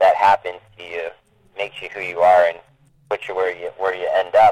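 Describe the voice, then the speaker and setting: A man with a very deep, low voice talks at a fairly quick pace in a monotone, flat delivery. The sound is dry and close, with no echo. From Maine. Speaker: indie rock musician. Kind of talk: interview.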